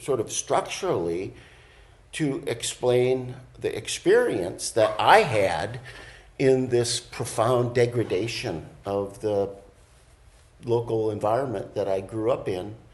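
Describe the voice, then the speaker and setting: Somewhat breathy and at medium pitch, a man speaks at a very slow pace with ordinary pitch variation and long, frequent pauses. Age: 60s. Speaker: college program co-director. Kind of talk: interview. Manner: halting, many fillers.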